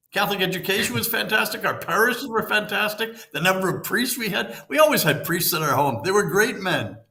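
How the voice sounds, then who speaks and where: A man speaks in a raised, projected voice with a high pitch, a bright, sharp tone, an animated tone and lively intonation at a fairly quick pace, with audible room echo. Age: 70s. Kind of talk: interview conversation.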